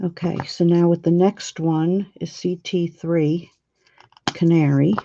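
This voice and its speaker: A quiet woman's voice, fairly low in pitch, at a very slow pace with monotone, flat intonation. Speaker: coloring video creator. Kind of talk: tutorial.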